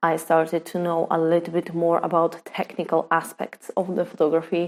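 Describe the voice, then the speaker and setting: In a very clean recording with a silent background, a woman speaks with a Polish accent. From Poland. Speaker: photographer. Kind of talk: personal vlog story. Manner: halting, many fillers.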